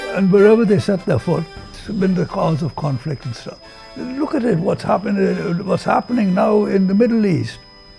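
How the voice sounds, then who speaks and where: A man with a high-pitched voice talks over music playing in the background. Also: lively intonation, moderate pace. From India. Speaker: oral history interviewee. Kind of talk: interview answer.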